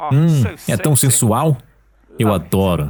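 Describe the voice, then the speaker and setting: His voice is somewhat breathy and medium in pitch. This man's pitch swings very widely. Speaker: voice-over artist. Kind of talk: dubbed talk narration.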